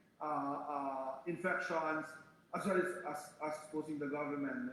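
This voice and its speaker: Amid audible room echo and noticeable background noise, the pitch varies in an ordinary way. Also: man. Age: 60s. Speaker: human rights activist. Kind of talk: panel discussion. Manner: halting.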